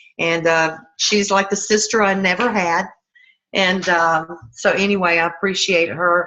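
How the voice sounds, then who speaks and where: Speaking with a Southern US accent, a woman uses a bright, sharp tone. Her intonation stays fairly even at a fairly slow pace. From US South. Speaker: network marketing sponsor. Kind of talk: talk on a group video call. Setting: online group call. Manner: casual, folksy.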